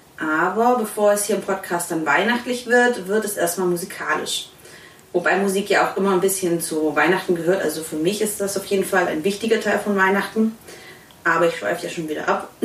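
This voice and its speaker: With noticeable background noise and audible room echo, a woman talks. Her pitch is medium, with ordinary pitch variation. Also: fairly quick pace. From Swabia. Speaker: podcast host. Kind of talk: casual interview.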